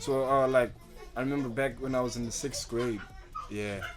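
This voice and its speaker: A man at medium pitch and a fairly quick pace with fairly even intonation, music in the background and audible room echo. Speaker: rapper. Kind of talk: podcast interview.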